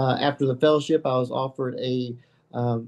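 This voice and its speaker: With a Kentucky accent, a man talks at a fairly quick pace. His pitch is medium, with ordinary variation. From Kentucky, Murray. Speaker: addiction medicine physician. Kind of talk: interview. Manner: halting, many fillers.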